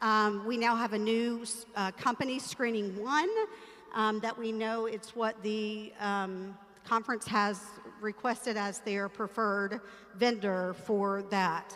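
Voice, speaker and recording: A woman's fairly high voice, fairly slow in pace and flat, monotone in intonation. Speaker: church ministry director. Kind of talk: training briefing. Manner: filler-heavy (um, uh).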